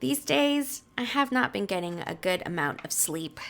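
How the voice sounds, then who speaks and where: A woman's raised, projected voice moves at a very slow pace with very wide pitch swings. Her tone is upbeat and playful. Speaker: voice actor. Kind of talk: casual talk to camera while playing a game. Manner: upbeat, playful.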